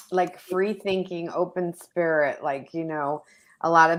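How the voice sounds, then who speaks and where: At a fairly slow pace, a woman with an American accent keeps her intonation fairly even. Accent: semi-New York. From New York. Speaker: actress. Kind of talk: interview.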